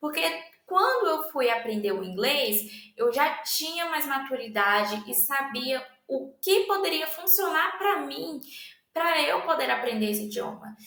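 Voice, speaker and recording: A woman speaks at a fairly slow pace in a raised, projected voice with high pitch and very wide pitch swings. Audible room echo fills the space. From Brazil. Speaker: language student presenter. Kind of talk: educational presentation. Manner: halting, many fillers.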